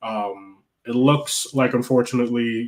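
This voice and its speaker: Monotone, flat intonation in an American accent. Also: man. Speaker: football fan podcast host. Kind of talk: live stream match reaction chat.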